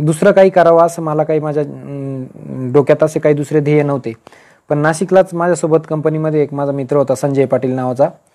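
A man's dark, mellow tone sits at a fairly high pitch, with fairly even intonation. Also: quiet background. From rural Maharashtra, Nashik district (Sinnar); Maharashtra. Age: 40s. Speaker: senior income tax officer giving career guidance. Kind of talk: motivational talk to exam aspirants. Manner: informal, conversational. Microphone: earbuds.

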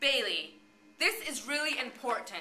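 A woman's raised, projected voice comes at a moderate pace through audible room echo. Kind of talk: acted scene dialogue. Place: classroom.

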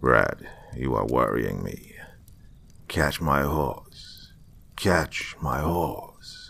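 A man speaks in a put-on character voice, raspy and very deep, at a very slow pace with long, frequent pauses and ordinary pitch variation.

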